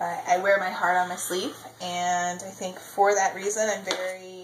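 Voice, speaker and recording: In a room with audible echo and noticeable background noise, a woman speaks at a moderate pace with a medium pitch and monotone, flat intonation. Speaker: baking show applicant. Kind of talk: audition video, casual self-description while baking. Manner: loud; outgoing, chatty with fillers.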